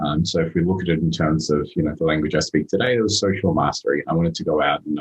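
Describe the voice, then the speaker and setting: With an Australian accent, a man with a very deep, low pitch talks very fast in fairly even intonation. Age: 30s. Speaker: motivational speaker. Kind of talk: podcast interview.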